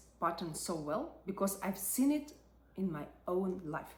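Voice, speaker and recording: Speaking at a fairly slow pace, a woman uses a somewhat breathy medium-pitched voice with lively intonation. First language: not English. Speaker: psychology and personal growth creator. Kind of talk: reflective video essay.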